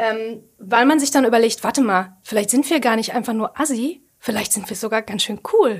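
The speech, with a Ruhr accent, goes at a moderate pace. Pitch variation is ordinary. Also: woman. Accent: Ruhr German (Ruhrpott). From Ruhr area, Germany. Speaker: podcast co-host. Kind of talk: casual chat.

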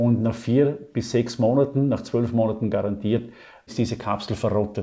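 At a moderate pace, a man speaks in a medium-pitched, monotone voice with flat intonation. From Austria, Vorarlberg. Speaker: marketing lecturer and author. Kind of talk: interview.

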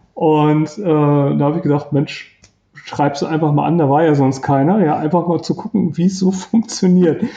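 A man in an unremarkable speaking voice talks at a moderate pace and fairly high pitch, with ordinary pitch variation and very even loudness. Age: 50s. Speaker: self-employed in personal development. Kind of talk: interview, personal love story.

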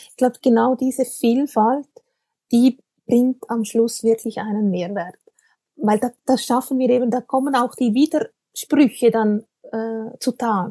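A woman's high-pitched voice with a dark, mellow tone and fairly even intonation, at a very slow pace, in a dry, close sound with no echo. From Switzerland. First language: Swiss German (speaking German). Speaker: communications consultant. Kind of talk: interview.

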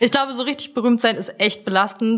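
A woman at a very fast pace on a very clean recording with a silent background. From Germany. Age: 20s. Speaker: dating show contestant. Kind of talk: casual chat.

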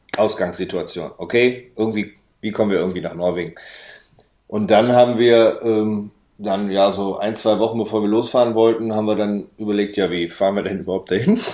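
A man speaks with a fairly low pitch and a dark, mellow tone. His intonation is monotone and flat, at a fairly quick pace. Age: 30s. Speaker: van traveller. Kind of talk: casual interview.

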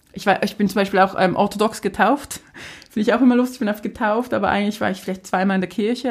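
A woman is speaking with ordinary pitch variation. There is noticeable background noise. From Switzerland, Basel area. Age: 20s. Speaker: influencer and city magazine founder. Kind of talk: casual interview.

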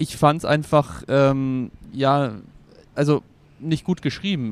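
A man's fairly high-pitched voice, an ordinary speaking voice, with fairly even intonation. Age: 30s. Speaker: film blogger. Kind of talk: casual chat. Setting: film festival in Venice.

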